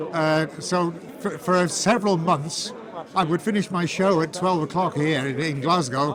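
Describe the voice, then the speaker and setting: With noticeable background noise and audible room echo, a man talks at a moderate pace in a fairly high pitch with ordinary pitch variation. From northern England, Manchester area. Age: 70s. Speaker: retired radio presenter. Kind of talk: interview. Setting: civic reception. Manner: halting, with repetitions.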